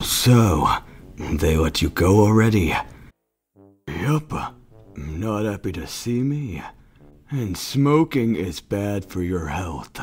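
Over music in the background, a man in a put-on character voice with a fairly low pitch talks at a very slow pace, leaving long, frequent pauses. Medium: dub.

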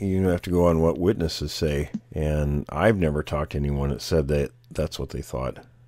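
Noticeable background noise surrounds a man speaking at a very deep, low pitch. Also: ordinary pitch variation, moderate pace. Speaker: podcast host, bigfoot researcher. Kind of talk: casual chat.

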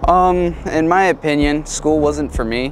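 A man speaks in a dry sound with no echo. Light background noise is present. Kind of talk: interview answer. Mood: relaxed, occasional laughs. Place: street. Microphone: lapel.

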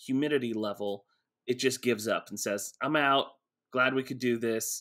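Over a quiet background, a man's medium-pitched voice has a bright, sharp tone, ordinary pitch variation and a moderate pace. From Texas, Houston area. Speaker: pastor and author. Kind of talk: casual interview. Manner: hesitant, many fillers. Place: home room.

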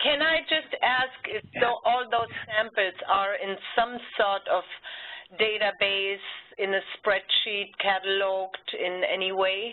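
This woman talks at a very slow pace. Her pitch is medium, with ordinary variation. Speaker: geoscience data repository manager. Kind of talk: online project meeting. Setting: video call. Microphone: video call.

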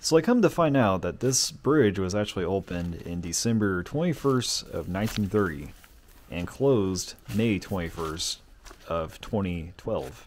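With an ordinary speaking voice, a man talks at a moderate pace, using fairly low pitch and lively intonation. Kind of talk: casual exploration vlog narration. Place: open country. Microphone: phone near.

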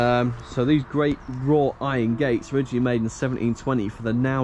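Light background noise sits behind a man's voice. He speaks at a fairly quick pace with fairly even intonation. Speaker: exploration vlogger. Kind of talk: casual vlog chat. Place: open country. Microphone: phone near.

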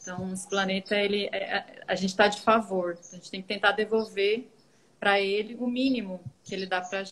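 A woman talks at a fairly quick pace in a monotone, flat intonation. Her loudness swings widely. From Goiás, Brazil. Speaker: teacher and composting student; teacher. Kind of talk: live Q&A video chat. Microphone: video call.

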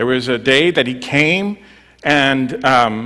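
A man's voice, bright and sharp in tone, comes over a quiet background. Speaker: preacher. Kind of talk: sermon. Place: church. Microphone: headset.

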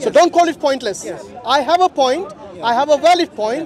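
Crowd noise fills the background as a man speaks at a fairly quick pace with lively intonation. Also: dry sound with no echo. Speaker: street debater. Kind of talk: heated debate argument. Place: open country. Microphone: phone near.

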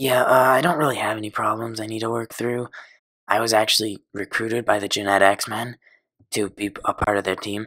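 In a put-on character voice, a man speaks raspily at a medium pitch and a moderate pace, recorded very cleanly against a silent background. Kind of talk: absurd animated comedy. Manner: deadpan, self-important, easily offended.

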